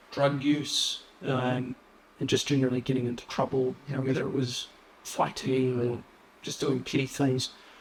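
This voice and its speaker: With monotone, flat intonation, a man talks at a moderate pace over noticeable background noise. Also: medium pitch for a man. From New Zealand, Wellington (arrived as young refugee). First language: Assyrian. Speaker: police officer. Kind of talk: interview. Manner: hesitant, many fillers.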